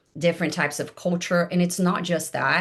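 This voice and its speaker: A woman with a Portuguese accent speaks in a very deep, low pitch. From Brazil. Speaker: life coach and former engineering leader. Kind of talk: podcast interview. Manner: hesitant, frequent fillers.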